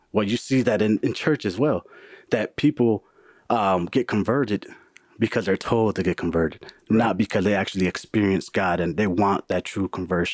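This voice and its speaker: On a very clean recording with a silent background, a man in an American accent uses a normal speaking voice at a fairly low pitch and moderate pace, with ordinary pitch variation and a dry, close sound with no echo. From US Midwest, Milwaukee. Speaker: IT worker, churchgoer. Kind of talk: casual chat.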